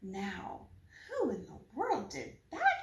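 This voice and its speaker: A woman puts on a character voice at an extremely high pitch. Her pitch swings very widely. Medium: read story.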